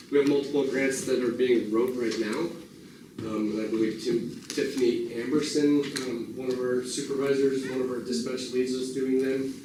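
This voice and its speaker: Through noticeable background noise and audible room echo, a man with a medium pitch talks at a moderate pace with fairly even intonation. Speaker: sheriff-elect. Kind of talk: community meeting Q&A. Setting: community meeting room with audience. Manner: halting, many fillers and repeats.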